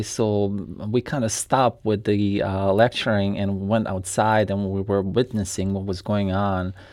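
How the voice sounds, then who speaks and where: Over a quiet background, a man with a Bosnian accent speaks at a fairly low pitch in a dark, mellow tone with monotone, flat intonation. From Bosnia and Herzegovina. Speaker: former refugee. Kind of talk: radio interview.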